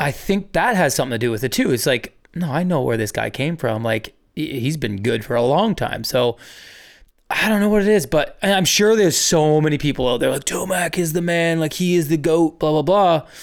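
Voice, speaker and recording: A man talks in a plain, everyday voice at a fairly quick pace. His pitch is fairly high and his intonation lively. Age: 40s. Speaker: motocross podcast co-host. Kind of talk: casual chat.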